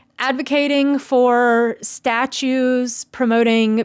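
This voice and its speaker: A woman speaks in a Southern US accent. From US South, Tennessee. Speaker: video blogger. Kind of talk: personal monologue.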